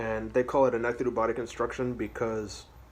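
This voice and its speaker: A man keeps his intonation fairly even while noticeable background noise plays behind him. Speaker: guitarist, metal player. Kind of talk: casual gear review talk to camera.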